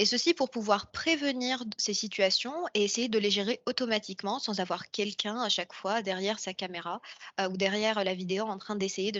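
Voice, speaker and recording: A woman's medium-pitched voice, fairly quick in pace, with fairly even intonation. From Morocco. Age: 20s. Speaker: AI engineer. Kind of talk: interview monologue. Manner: hesitant, many fillers.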